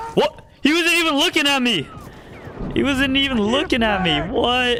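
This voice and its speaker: In an American accent, a man uses a raised, projected voice at an extremely high pitch, with lively intonation, very even loudness and a moderate pace, over noticeable background noise. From US, Arizona. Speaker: video game streamer. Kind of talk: live gameplay commentary and chat with viewers.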